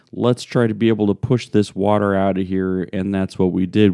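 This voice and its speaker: The man's voice is fairly low and dark, mellow in tone, with a dry, close sound and no echo. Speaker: pastor. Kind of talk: daily devotion. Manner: casual, conversational, with fillers.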